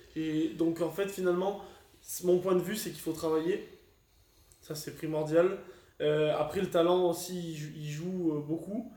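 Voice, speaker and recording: A man with a high-pitched, dark and mellow voice speaks at a fairly slow pace in a flat monotone, leaving long, frequent pauses, with audible room echo. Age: 20s. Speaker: amateur Olympic boxer. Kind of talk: casual interview. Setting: training camp in the Canary Islands.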